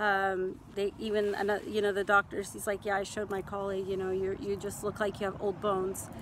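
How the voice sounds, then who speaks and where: This woman has an American accent. She talks at a fairly high pitch. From central California. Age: 40s. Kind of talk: casual talk to camera. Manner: hesitant.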